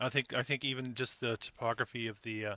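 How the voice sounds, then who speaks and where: In a Canadian accent, a man talks fairly quickly at a medium pitch. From northern British Columbia, Canada. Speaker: podcast host. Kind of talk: casual chat. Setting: live stream. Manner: halting.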